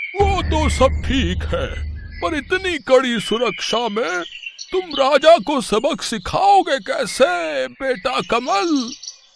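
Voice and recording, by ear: In a cartoonish character voice pitched extremely high, a man speaks very slowly over clear background noise.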